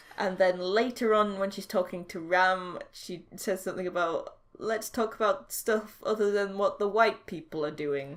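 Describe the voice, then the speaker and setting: A woman with a Yorkshire accent talks at a moderate pace with hardly any pauses, her medium pitch showing ordinary variation. The recording is very clean, with a silent background. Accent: posh-sounding for Yorkshire. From Yorkshire, northern England. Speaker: podcast co-host discussing TV. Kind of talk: casual chat.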